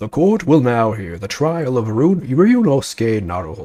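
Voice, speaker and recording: A man's put-on character voice at a medium pitch, with very wide pitch swings, a moderate pace and a quiet background. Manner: stern, formal.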